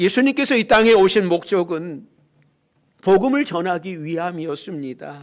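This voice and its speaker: At a moderate pace, a man with a high pitch uses lively intonation on a very clean recording with a silent background. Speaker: pastor. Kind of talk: sermon. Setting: church.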